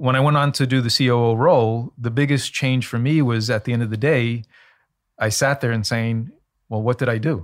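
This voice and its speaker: A man speaks at a moderate pace with medium pitch and fairly even intonation, in a plain, everyday voice. The recording is very clean, with a silent background. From United States, child of Colombian immigrants. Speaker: finance executive. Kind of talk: interview.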